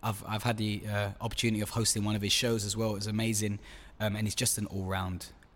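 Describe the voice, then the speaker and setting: A man's fairly low voice in an East London accent, delivered at a very fast pace. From East London (Stratford). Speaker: podcast host. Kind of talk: casual chat. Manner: animated.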